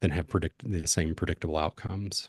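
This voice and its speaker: Recorded dry and close with no echo against a quiet background, a man with a very deep, low pitch speaks in a calm tone with fairly even intonation. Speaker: crypto hedge fund founder. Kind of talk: panel interview.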